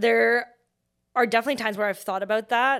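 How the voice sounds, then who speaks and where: A woman with an ordinary speaking voice and a fairly high pitch keeps her intonation fairly even, recorded very cleanly against a silent background. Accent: Canadian. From Vancouver, Canada. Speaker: startup founder. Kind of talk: interview.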